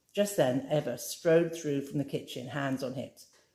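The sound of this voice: A woman speaks at a moderate pace with an extremely low pitch and a dark, mellow tone. Her pitch varies in an ordinary way.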